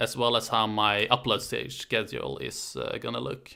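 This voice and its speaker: Speaking at a fairly slow pace with a Swedish accent, a man comes through on a very clean recording with a silent background. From Sweden, Stockholm. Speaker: history YouTuber. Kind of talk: casual live stream chat. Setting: live stream from home.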